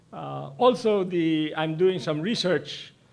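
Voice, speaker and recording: A man speaks in a fairly high pitch with lively intonation. The recording carries audible room echo. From Philippines, Laguna. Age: 70s. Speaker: professor. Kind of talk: speech to an audience. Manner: halting.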